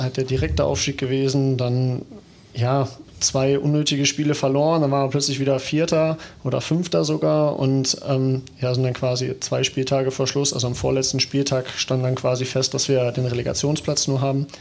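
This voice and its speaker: The voice is an unremarkable speaking voice, delivered at a moderate pace with fairly even intonation. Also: man, medium pitch for a man, very even loudness. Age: 30s. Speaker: footballer. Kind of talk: casual chat.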